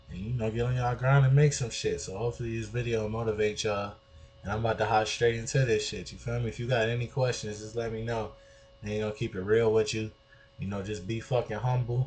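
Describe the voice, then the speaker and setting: A man with an American accent talks very fast at a medium pitch, keeping his intonation fairly even. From US Midwest, Detroit. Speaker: music producer. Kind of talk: tutorial. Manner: casual, street slang, not polished.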